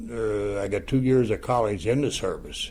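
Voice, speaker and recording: In a room with audible echo, a man with an American accent talks at a moderate pace with ordinary pitch variation. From Ohio, US Midwest. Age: 80s+. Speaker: war veteran. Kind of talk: personal testimony interview. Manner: halting, with frequent fillers.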